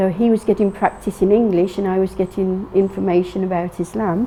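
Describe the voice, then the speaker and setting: A woman speaks in a monotone with flat intonation over noticeable background noise. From England. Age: 60s. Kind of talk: personal testimony interview. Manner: halting, many fillers and restarts.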